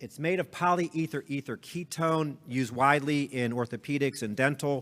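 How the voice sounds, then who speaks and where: This man talks at a medium pitch with ordinary pitch variation. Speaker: surgeon presenting at a medical conference. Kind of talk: conference lecture. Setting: conference stage with audience. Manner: fast.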